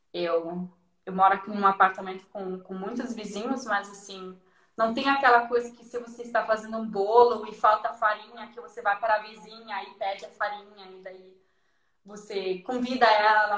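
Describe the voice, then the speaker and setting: A strong non-native accent, bright and sharp in tone, with fairly even intonation and big swings in loudness. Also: woman. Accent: strong foreign accent in Portuguese. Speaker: guest. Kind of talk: casual chat.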